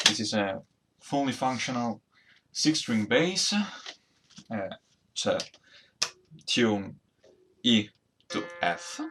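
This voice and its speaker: A man speaks with a strong Italian accent. His pitch is medium and his pace very slow. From Italy. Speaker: amateur luthier and musician. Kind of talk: DIY build vlog. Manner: hesitant, with fillers. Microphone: laptop recording.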